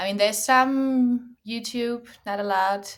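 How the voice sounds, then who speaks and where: A woman speaks at a very slow pace. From Germany. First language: German. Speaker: language teacher and content creator. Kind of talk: interview.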